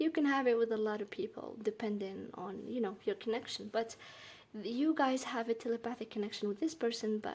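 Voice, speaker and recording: Speaking with a non-native accent, a woman keeps her pitch fairly high. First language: not English. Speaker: tarot reader. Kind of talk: tarot reading monologue. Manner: halting.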